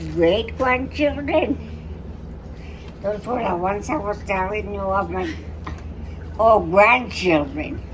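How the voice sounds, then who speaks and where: Pausing long and often, a woman speaks at a very slow pace, with noticeable background noise and audible room echo around her. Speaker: pageant contestant. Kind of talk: interview. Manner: halting.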